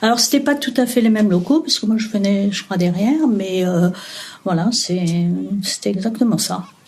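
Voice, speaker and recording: A woman of medium pitch talks at a fairly slow pace with ordinary pitch variation, with noticeable background noise behind her. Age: 60s. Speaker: retiree interviewed about memories. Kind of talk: interview. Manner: hesitant, many fillers.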